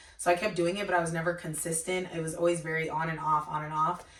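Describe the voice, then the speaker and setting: At a very fast pace, a woman talks in an animated tone with a very deep, low pitch, against noticeable background noise. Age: 20s. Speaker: YouTuber and student. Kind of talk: casual interview.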